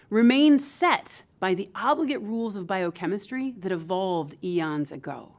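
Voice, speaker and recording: A woman with a Midwestern American accent talks at a fairly slow pace with very wide pitch swings on a very clean recording with a silent background. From Michigan, US Midwest. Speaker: professor. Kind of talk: lecture.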